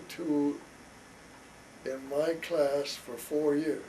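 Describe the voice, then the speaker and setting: A man speaks in a fairly high voice with a Midwestern US accent. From rural Iowa, Carroll area. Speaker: father interviewed about his life. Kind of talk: family oral history interview. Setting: at home.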